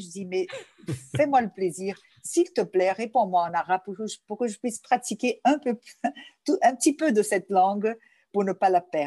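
A woman with a Portuguese accent, a fairly high pitch and a dark, mellow tone, lively intonation at a moderate pace, the sound dry and close with no echo. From Brazil, Rio de Janeiro, Lebanese family. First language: Portuguese (speaking French). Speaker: journalist and cultural association president. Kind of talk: interview. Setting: remote interview from home.

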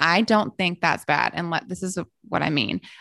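In a Southern US accent, a woman with a fairly low pitch and a bright, sharp tone talks at a moderate pace, the sound dry and close with no echo against a quiet background. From US South, Memphis, Tennessee. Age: 30s. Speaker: health coach. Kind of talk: casual chat.

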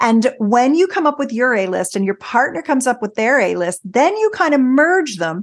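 Against a quiet background, a woman speaks at a moderate pace in a high, animated voice with very wide pitch swings and hardly any pauses. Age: 60s. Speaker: intimacy expert. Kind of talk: casual interview.

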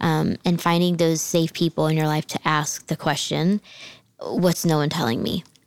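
A woman with an American accent speaks at a moderate pace in a plain, everyday voice, fairly low in pitch with fairly even intonation, in a dry, close sound with no echo. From New Jersey, near Philadelphia. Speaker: podcast co-host. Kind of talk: casual faith conversation.

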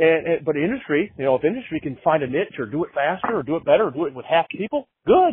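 Pitched fairly high, a man rattles along at a very fast pace with hardly any pauses. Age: 40s. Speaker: podcast host. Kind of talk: casual chat. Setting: phone call.

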